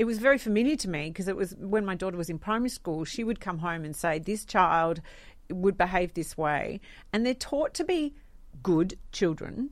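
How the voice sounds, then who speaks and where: A woman speaks with an Australian accent at a moderate pace and with lively intonation. The recording is very clean, with a silent background. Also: medium pitch for a woman. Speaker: radio host. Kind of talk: casual chat.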